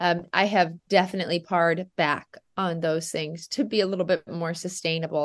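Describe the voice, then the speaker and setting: This is a woman with a normal speaking voice. The background is quiet. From US Midwest, Nebraska. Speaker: dairy goat farmer. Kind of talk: casual interview.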